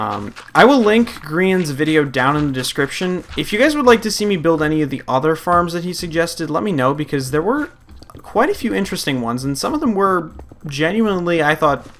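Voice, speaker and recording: With lively intonation, a man speaks in a high voice at a fairly quick pace, with noticeable background noise. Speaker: gaming youtuber. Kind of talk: let's play commentary. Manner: casual, rambling with fillers.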